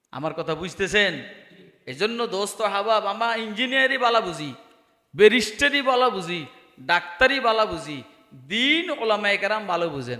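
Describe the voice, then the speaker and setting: A man speaks in an animated tone with a high, raised, projected voice and very wide pitch swings. The room adds audible echo. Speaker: Islamic preacher. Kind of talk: sermon. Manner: animated, rhetorical questions to audience.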